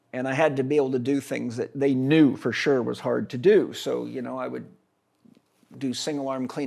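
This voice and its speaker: A man speaks in a normal speaking voice at a medium pitch with fairly even intonation. The recording is very clean, with a silent background. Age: 60s. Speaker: holistic health expert and educator. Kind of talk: interview conversation.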